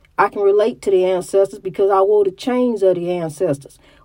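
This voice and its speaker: A woman speaks with a Southern US accent. Her intonation stays fairly even. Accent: Southern US, country-sounding. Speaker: podcast host. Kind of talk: inspirational monologue. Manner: halting.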